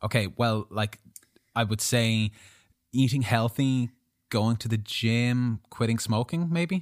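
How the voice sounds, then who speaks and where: Pausing long and often, a man talks at a very slow pace and medium pitch. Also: ordinary pitch variation, very clean recording, silent background. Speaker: podcast host, writer and filmmaker. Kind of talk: casual chat.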